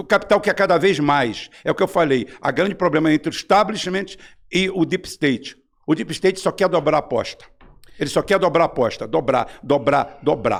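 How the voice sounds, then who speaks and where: This man's voice sits high in pitch. The recording is very clean, with a silent background. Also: ordinary pitch variation, moderate pace. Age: 60s. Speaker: political commentator. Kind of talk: heated debate. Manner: animated.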